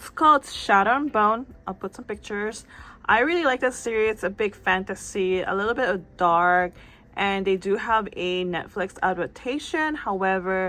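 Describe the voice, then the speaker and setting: A woman's medium-pitched voice with a non-native accent, a bright, sharp tone and ordinary pitch variation. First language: not English. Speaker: book and manga YouTuber. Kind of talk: casual vlog chat. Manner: casual, slightly halting.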